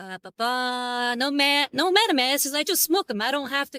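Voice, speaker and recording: In a very clean recording with a silent background, the words come at a moderate pace. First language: Spanish. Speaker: miniature painting streamer. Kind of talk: live stream chat while painting. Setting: live stream. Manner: casual, chatty.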